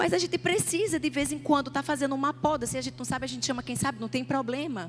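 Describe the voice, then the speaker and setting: A woman speaks in a Paraíba accent. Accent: northeastern Brazilian (Paraíba). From Northeast Brazil, João Pessoa, Paraíba. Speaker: pastor. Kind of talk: sermon. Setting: church stage with audience.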